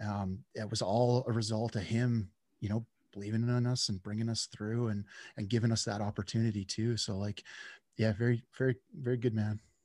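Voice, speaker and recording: A man's medium-pitched, dark, mellow voice in a Western Canadian accent, monotone and flat at a fairly quick pace, with a dry, close sound with no echo in a very clean recording over a silent background. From central British Columbia, Canada. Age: 40s. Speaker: lineman and podcast host. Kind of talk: interview conversation.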